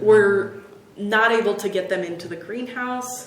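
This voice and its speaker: A woman speaks fairly slowly at a medium pitch with fairly even intonation. Audible room echo and noticeable background noise surround her. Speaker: conservation horticulturist. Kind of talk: casual chat.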